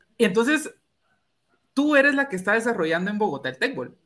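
Raised and projected, a man's bright, sharp voice makes very wide pitch swings. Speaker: sports podcast host. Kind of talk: casual interview.

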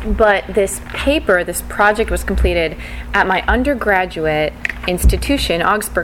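Female speech with noticeable background noise. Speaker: podcast host and conference presenter. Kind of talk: conference talk discussion, explanatory.

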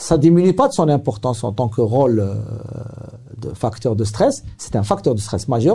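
At a moderate pace, a man with a medium pitch speaks in a dark, mellow, somewhat breathy tone, with lively intonation and long, frequent pauses. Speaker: psychiatrist. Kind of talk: interview. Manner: halting.

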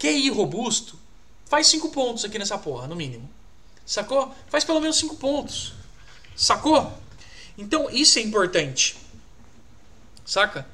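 Raising and projecting his voice, a man speaks at an extremely high pitch in a bright, sharp tone. His pitch swings very widely, and his pace is fairly slow. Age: 20s. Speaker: career coach. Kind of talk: live stream talk. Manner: animated; casual slangy.

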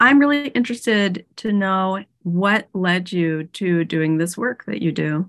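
A woman with a normal speaking voice talks at a fairly slow pace. Her pitch is medium and her intonation lively. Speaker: podcast host, psychotherapist and coach. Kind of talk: podcast interview.

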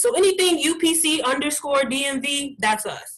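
The woman's tone is bright and sharp, and her intonation is lively. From Columbus, Ohio. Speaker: community group organizer. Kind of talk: casual interview. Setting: video call.

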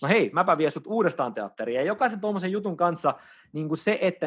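Against a quiet background, a man with an unremarkable speaking voice talks at a moderate pace with lively intonation. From Finland, Oulu. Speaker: dating coach and dance teacher. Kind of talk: casual interview.

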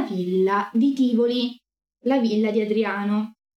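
Her tone animated, a woman speaks at a fairly high pitch. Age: 20s. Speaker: streamer teaching ancient history. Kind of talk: livestream lecture.

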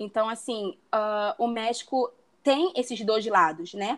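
A woman's fairly high voice with lively intonation and a Rio de Janeiro accent. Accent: Carioca Brazilian Portuguese. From Brazil, Rio de Janeiro. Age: 20s. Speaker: travel planner. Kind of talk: interview. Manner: confident.

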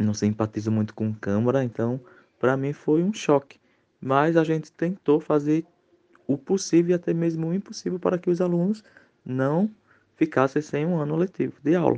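A man's fairly high voice with a dark, mellow tone, lively intonation, a moderate pace and long, frequent pauses, in a dry, close sound with no echo. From Pernambuco, Brazil. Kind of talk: recorded testimony. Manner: halting, with repetitions.

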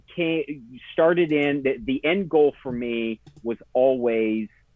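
The recording is dry and close with no echo, as a man speaks slowly at a medium pitch with ordinary pitch variation.

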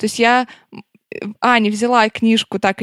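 In a very clean recording with a silent background and a dry, close sound with no echo, a woman uses an ordinary speaking voice at a fairly high pitch and a moderate pace. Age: 20s. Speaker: podcast host. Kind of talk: casual chat.

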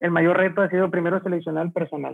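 Very fast, flat, monotone speech in a northern Mexican accent. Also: man. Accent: northern Mexican (Monterrey) Spanish. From Mexico, Monterrey. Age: 40s. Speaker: transport logistics entrepreneur. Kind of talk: interview.

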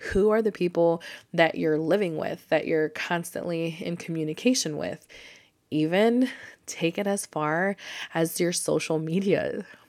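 In a very clean recording with a silent background, a woman talks at a fairly slow pace. She has an ordinary speaking voice, fairly low in pitch, with ordinary pitch variation. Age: 30s. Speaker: podcast host. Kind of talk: casual solo monologue. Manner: upbeat, frequent laughter.

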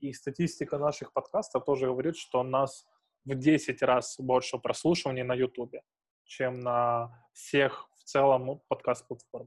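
A man speaks at a fairly slow pace in a dry, close sound with no echo. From Ukrainian provinces. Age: 20s. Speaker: podcast host. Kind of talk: casual chat.

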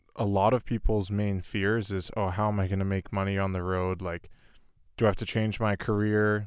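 A fairly low-pitched man at a moderate pace, on a very clean recording with a silent background. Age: 20s. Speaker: podcast host. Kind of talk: casual chat. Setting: inside a van.

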